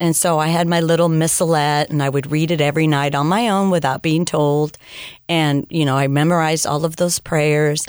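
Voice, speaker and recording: A woman speaks with a very deep, low pitch in a monotone, flat intonation, her loudness very even. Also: fairly quick pace. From California, Mexican-American family. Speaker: missionary and former teacher. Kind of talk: interview testimony. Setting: studio.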